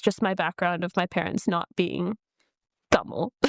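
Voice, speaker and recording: A woman with an American accent speaks at medium pitch and a moderate pace. Her intonation is fairly even, with vocal fry. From US Midwest, Detroit, Michigan. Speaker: singer and dancer. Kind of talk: podcast interview.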